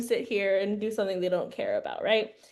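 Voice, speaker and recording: Speaking at a very fast pace, a woman gets through her words quickly. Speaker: youth program coordinator presenting a webinar. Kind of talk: webinar presentation. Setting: online webinar. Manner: hesitant, many fillers.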